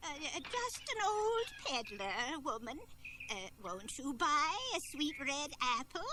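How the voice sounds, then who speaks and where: A high-pitched, put-on character voice moves at a fairly slow pace with very wide pitch swings. Background noise is clearly heard. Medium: audio drama. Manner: sly, hesitant old-woman act.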